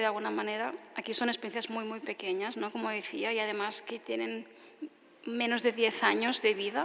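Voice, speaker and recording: Fairly high female speech against noticeable background noise. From Spain, Tarragona. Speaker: architect. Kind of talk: audience Q&A answer; lecture. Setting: stage with audience; outdoors.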